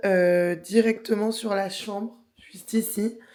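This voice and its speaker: Very slowly, a woman talks, her pitch moving in an ordinary way. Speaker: lifestyle vlogger. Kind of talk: casual vlog to camera. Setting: hotel room. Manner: many filler hesitations (euh).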